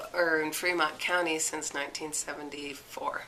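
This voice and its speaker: A woman with a very deep, low pitch speaks at a moderate pace in a monotone, flat intonation. Noticeable background noise and audible room echo surround her. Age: 60s. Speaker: amateur athlete. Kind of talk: interview. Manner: casual, hesitant with fillers.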